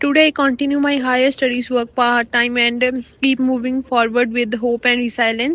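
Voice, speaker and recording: Speaking at a fairly quick pace, a woman with a Punjabi accent has a high-pitched voice. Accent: Indian Punjabi English. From Punjab, India. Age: 20s. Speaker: international student. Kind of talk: personal story reading.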